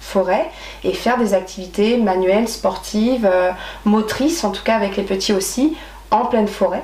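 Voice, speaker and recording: A woman speaks amid noticeable background noise, her voice carrying audible room echo. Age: 30s. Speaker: nature activity leader. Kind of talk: interview. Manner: hesitant, many fillers.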